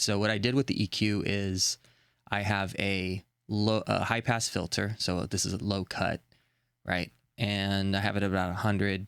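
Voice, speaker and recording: A man's fairly low voice in a monotone, flat delivery at a moderate pace, on a very clean recording with a silent background. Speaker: audio tutorial youtuber. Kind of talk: tutorial. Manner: casual, halting with fillers.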